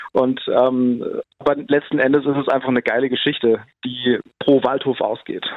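Spoken at a moderate pace, the voice stays monotone and flat, with very even loudness throughout. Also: man, medium pitch for a man. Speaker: film director. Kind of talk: interview.

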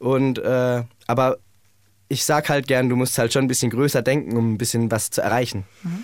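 A man with an ordinary speaking voice, medium pitch and fairly even intonation talks at a moderate pace on a very clean recording with a silent background. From Germany, Heidelberg. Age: 20s. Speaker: singer in a band. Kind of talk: radio interview.

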